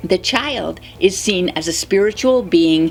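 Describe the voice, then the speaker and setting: A woman's medium-pitched voice at a very slow pace, with very wide pitch swings and music in the background. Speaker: spiritual channel host. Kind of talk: spoken spiritual commentary.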